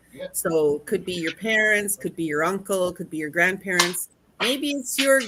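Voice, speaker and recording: A woman's bright, sharp tone at medium pitch, with lively intonation. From Northwestern Ontario, Canada (Thunder Bay). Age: 60s. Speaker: conference speaker. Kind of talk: casual interview chat.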